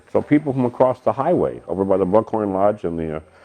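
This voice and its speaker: Talking very fast with very wide pitch swings, a man speaks with vocal fry. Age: 70s. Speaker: assault victim, senior citizen. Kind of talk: interview answer.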